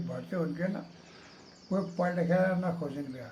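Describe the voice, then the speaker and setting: With a dark, mellow tone, a man speaks at a high pitch. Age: old. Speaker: army veteran. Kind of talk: interview answer.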